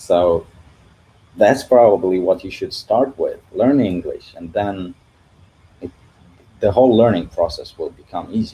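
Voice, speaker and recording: Speaking fairly slowly in a Russian accent, a man leaves long, frequent pauses while his loudness swings widely. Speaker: CG artist and YouTuber. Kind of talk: livestream Q&A. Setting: livestream from living room. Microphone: echo in room.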